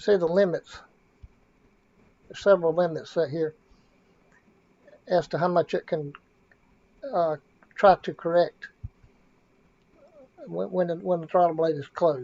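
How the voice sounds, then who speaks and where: The speech has fairly even intonation and long, frequent pauses. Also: man, high pitch for a man. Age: 60s. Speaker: car tuner and former dealer mechanic. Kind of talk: tutorial. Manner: halting, many fillers and repeats.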